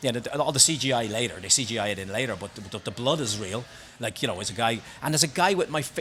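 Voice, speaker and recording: A man talks at a very fast pace in a strong Belfast accent. His tone is animated and his intonation lively. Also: medium pitch for a man. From Northern Ireland, Belfast. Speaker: singer and actor. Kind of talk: casual chat. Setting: bar.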